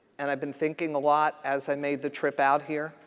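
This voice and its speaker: A man with an East Coast US accent speaks at a fairly slow pace. His pitch is fairly high. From US East Coast. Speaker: federal health official. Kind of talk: conference speech. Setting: stage with audience.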